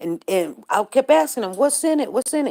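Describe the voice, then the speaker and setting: Very wide pitch swings and vocal fry in a dark, mellow tone, with a dry, close sound and no echo. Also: woman. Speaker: livestream host. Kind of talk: casual chat. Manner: halting.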